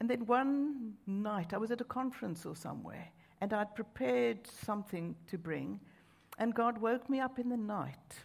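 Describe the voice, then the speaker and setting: With a South African accent, a woman talks at a moderate pace in a fairly high, somewhat breathy voice with lively intonation. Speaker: preacher. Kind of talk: sermon. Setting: church with large crowd.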